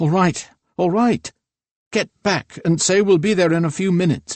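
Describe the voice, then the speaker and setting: Putting on a shrill character voice, a man speaks at a moderate pace with a high pitch. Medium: read story. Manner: scolding, sharp-tongued.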